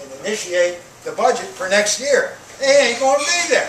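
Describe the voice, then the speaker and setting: Lively intonation over noticeable background noise and audible room echo. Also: man. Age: 60s. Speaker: retired college professor, school board candidate. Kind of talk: candidate forum answer. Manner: loud, projecting without microphone. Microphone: speaking without a microphone.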